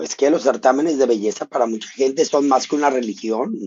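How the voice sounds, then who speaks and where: Putting on a character voice, a man speaks gravelly and hoarse at a medium pitch, fairly quickly and with lively intonation. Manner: graveyard-like, gravelly.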